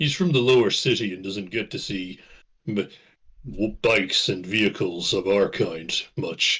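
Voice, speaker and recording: Put-on character voice from a man, pitched fairly low, moving at a moderate pace. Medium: actual play. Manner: polite, slightly formal.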